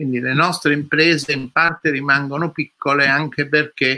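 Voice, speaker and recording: A man's medium-pitched voice with a bright, sharp tone, fairly even intonation and a fairly slow pace, in a dry, close sound with no echo. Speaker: economist, former central bank official. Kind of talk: panel discussion.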